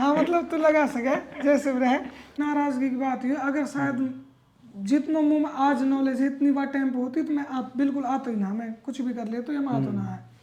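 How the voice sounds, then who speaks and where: Moderate pace over noticeable background noise. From Alwar, Rajasthan. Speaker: music composer and producer. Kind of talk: interview answer.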